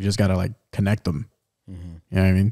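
Fairly low in pitch, this man's voice carries a dark, mellow tone. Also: quiet background. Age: 20s. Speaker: podcast co-host. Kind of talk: casual chat. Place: studio. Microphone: studio mic.

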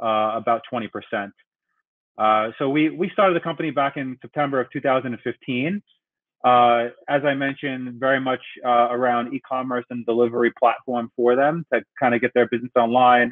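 A man at a moderate pace with fairly even intonation, over a quiet background. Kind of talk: workshop presentation. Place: home room. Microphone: webcam.

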